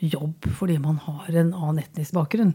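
The clip features an ordinary speaking voice. Pitch moves with ordinary variation. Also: woman. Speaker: equality ombudsman. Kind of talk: interview.

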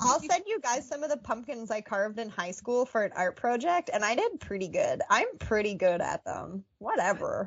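A woman's high voice with very wide pitch swings, hardly any pauses, and a moderate pace. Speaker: podcast co-host. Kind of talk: casual chat, storytelling. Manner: casual, laughs a lot.

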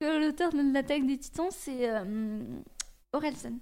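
Noticeable background noise beneath speech delivered at a moderate pace. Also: woman. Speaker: radio presenter. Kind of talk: casual interview. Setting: radio studio.

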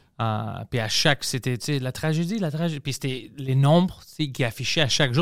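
At a moderate pace, a man with fairly high pitch and ordinary pitch variation speaks in a very clean recording with a silent background. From Greece. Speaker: podcast host. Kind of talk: casual chat.

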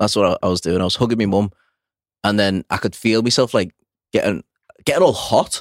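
Speaking fairly quickly but with long, frequent pauses, a man with a Liverpool accent uses a fairly low voice and ordinary pitch variation in a dry, close recording with no echo. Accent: Liverpool (Scouse). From Liverpool, England. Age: 30s. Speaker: personal trainer and former firefighter. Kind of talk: casual chat.

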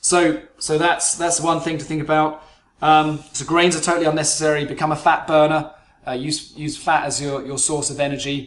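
A man with a British accent speaks at a fairly high pitch in a monotone, flat delivery. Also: moderate pace. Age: 40s. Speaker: business psychologist and performance coach. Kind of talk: solo podcast monologue.

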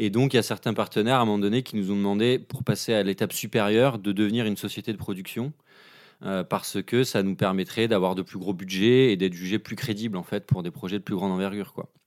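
A man speaks at a very fast pace in a fairly low pitch with ordinary pitch variation. The recording is very clean, with a silent background. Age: 30s. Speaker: film director and screenwriter. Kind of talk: interview. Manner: hesitant, many fillers.

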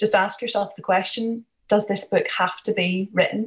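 The voice is somewhat breathy, with a Northern Irish accent. It moves at a moderate pace with fairly even intonation. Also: woman. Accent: Northern Irish (County Antrim). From Northern Ireland, Larne, County Antrim. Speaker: author. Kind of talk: interview.

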